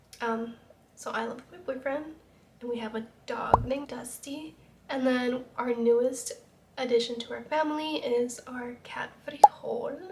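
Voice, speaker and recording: A woman with an American accent, a high pitch and a fairly slow pace, over noticeable background noise. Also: fairly even intonation. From Utah. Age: 20s. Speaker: YouTuber. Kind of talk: casual get-ready-with-me vlog.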